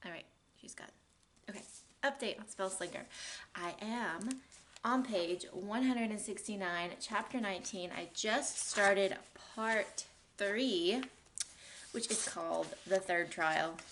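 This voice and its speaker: A woman speaks quietly at a fairly slow pace with long, frequent pauses and big swings in loudness. Her medium pitch varies in an ordinary way. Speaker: book vlogger. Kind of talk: casual reading vlog.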